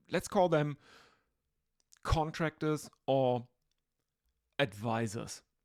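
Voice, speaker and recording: With a German accent, a woman talks at a very deep, low pitch and ordinary pitch variation. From Germany. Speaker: podcast host. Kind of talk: solo podcast monologue. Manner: hesitant, many filler words.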